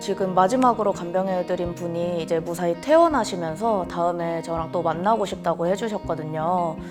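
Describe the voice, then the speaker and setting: Music plays in the background as a woman talks at a moderate pace with hardly any pauses. Her pitch is fairly low, with ordinary variation. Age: 20s. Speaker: caregiver; emergency medical technology student. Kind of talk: interview answer.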